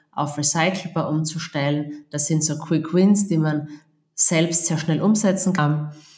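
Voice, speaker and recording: A woman with an Austrian accent speaks at a very deep, low pitch, somewhat breathy. Her intonation is fairly even and her pace fairly slow, with audible room echo. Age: 40s. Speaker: procurement agency founder. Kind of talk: podcast interview.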